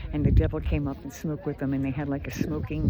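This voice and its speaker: A woman with an American accent, with audible room echo and noticeable background noise. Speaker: travel vlogger. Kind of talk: casual travel vlog narration. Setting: outdoors on mountain summit. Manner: casual, hesitant with fillers.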